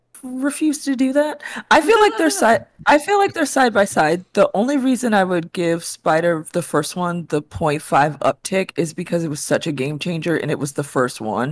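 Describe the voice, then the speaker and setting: A woman speaks at a moderate pace with a medium pitch and very wide pitch swings. The sound is dry, with no echo. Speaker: pop culture show panelist. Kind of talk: casual chat. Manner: enthusiastic. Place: home room. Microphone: headset.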